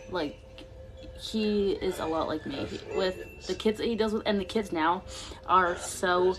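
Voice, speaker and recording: A woman talks at a fairly slow pace while music plays behind her. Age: 20s. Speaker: vlogger. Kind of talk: casual chat. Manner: halting.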